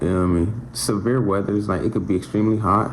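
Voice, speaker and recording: Against noticeable background noise and audible room echo, a man talks with ordinary pitch variation. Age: 20s. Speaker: electrical apprentice, vlogger. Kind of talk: casual talk to camera. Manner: halting.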